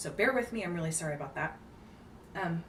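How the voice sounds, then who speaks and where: Against noticeable background noise and audible room echo, a woman with a fairly low pitch speaks with lively intonation. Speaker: book video creator. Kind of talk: casual vlog. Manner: hesitant with fillers.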